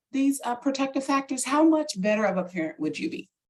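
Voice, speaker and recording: A woman's animated voice with lively intonation at a fairly quick pace. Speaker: parent program trainer. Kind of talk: webinar presentation. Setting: video call.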